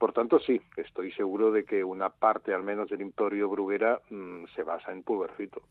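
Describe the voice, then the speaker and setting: A man speaks in a fairly low pitch at a moderate pace with fairly even intonation. His is an ordinary speaking voice, with big swings in loudness. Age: 60s. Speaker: comic book editor and author. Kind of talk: interview.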